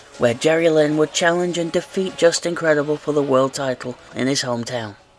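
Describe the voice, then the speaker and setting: Music can be heard behind the speech. A man delivers his words at a fairly quick pace. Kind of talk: wrestling history narration.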